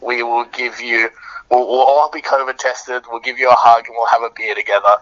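A man talks with an Australian accent at medium pitch. His intonation is monotone and flat, at a moderate pace. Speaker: band musician. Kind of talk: casual interview.

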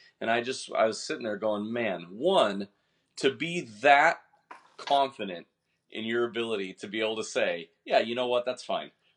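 A man's medium-pitched voice in an American accent, an ordinary speaking voice with lively intonation, a moderate pace and a quiet background. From Washington state. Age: 30s. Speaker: baseball training tool founder and coach. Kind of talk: casual chat.

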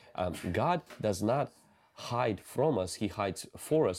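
Here is a man with a normal speaking voice, pitched fairly low and with lively intonation. The recording is very clean, the background silent. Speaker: preacher. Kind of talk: sermon. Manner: earnest, teaching.

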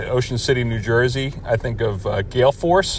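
A man uses an ordinary speaking voice at a medium pitch, speaking at a fairly slow pace with fairly even intonation. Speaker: listener submitting a response. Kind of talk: listener question response.

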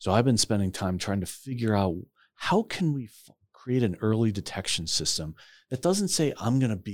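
A man speaks in an unremarkable speaking voice, fairly low in pitch. His pace is moderate and his intonation lively. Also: very clean recording, silent background. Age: 50s. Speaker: retired corporate CEO. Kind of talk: casual interview.

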